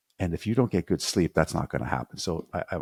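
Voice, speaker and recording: Spoken at a very fast pace, the voice is recorded very cleanly against a silent background, with a dry, close sound and no echo. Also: man. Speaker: podcast host. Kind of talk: solo podcast talk. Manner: halting, many fillers and repeats.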